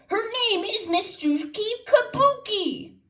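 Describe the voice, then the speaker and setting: Putting on a squeaky character voice, a woman speaks at an extremely high pitch in an excited tone and a fairly slow pace. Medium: read story. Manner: excited, announcing.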